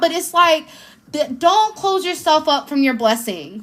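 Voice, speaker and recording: With a raised, projected voice, a woman speaks in an animated tone with lively intonation over noticeable background noise. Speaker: tarot reader and spiritual healer. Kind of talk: live-stream tarot reading. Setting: live stream.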